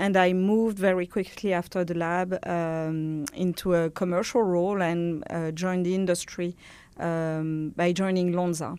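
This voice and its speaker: A woman with a French accent speaks at a moderate pace in a fairly low, dark, mellow tone with fairly even intonation. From France. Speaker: pharma industry executive. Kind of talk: interview. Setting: studio. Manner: halting, many fillers.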